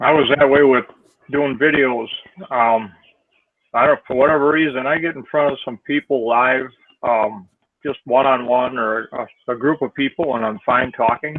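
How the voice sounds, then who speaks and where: Fairly even intonation marks a plain, everyday voice moving at a moderate speed. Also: man, medium pitch for a man. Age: 60s. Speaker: network marketer. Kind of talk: casual chat.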